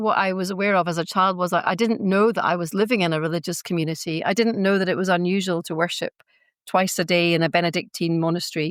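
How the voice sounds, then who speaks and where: On a very clean recording with a silent background, a woman talks at a fairly quick pace. Her medium-pitched voice sounds dry and close, with no echo. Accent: Scottish. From Scotland, Glasgow and Iona. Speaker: faith-based mediator, community member. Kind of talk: podcast interview. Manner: hesitant, many fillers.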